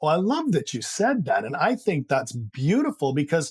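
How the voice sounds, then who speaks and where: A man talks at a fairly quick pace with a slight Canadian accent. His voice is somewhat breathy. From Canada. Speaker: high-performance coach. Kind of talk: interview.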